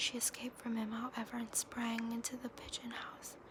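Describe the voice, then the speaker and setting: A woman whispers at a moderate pace. Noticeable background noise runs beneath her. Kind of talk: fairy tale reading. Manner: soft-spoken, whispered.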